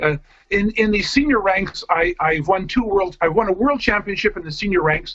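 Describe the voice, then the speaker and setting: In a Canadian accent, a man speaks at a moderate pace with a high pitch and ordinary pitch variation. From Canada, Vancouver. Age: 50s. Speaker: foosball coach. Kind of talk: interview.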